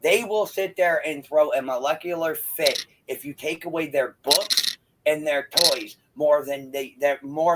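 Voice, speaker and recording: A man with a fairly high pitch talks at a moderate pace with ordinary pitch variation. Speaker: parent. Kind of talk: casual chat. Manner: loud.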